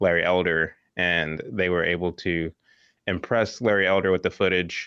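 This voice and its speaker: In an American accent, a man with a very deep, low pitch speaks at a moderate pace with fairly even intonation. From Texas, near Dallas. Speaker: entrepreneur and documentary filmmaker. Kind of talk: casual interview.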